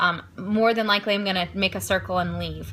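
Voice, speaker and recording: A woman speaks at a fairly quick pace with vocal fry. Her tone is bright and sharp. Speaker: fitness coach recruiting team members. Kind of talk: live social media training talk. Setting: home, live stream. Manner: halting, many filler ums.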